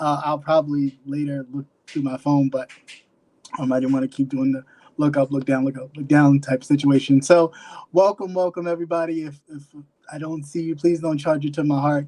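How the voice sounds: Fairly high-pitched with a dark, mellow tone, a man talks at a fairly quick pace with little pitch movement.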